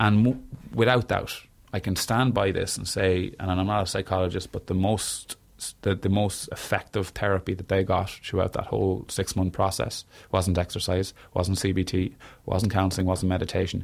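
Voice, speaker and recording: A man with a very deep, low pitch delivers his words at a moderate pace in monotone, flat intonation. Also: very clean recording, silent background. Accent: Irish. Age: 30s. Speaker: singer and mental health author. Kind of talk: interview conversation.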